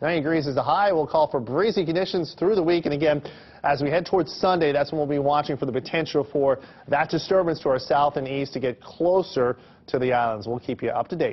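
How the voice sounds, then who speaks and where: A man speaks at a very fast pace in a fairly high pitch. His pitch varies an ordinary amount. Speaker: TV meteorologist. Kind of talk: local TV weather forecast, explaining a tropical disturbance on the map. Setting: TV studio. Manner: conversational, plain-spoken explainer with small hesitations; steady, reassuring broadcast delivery. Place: studio.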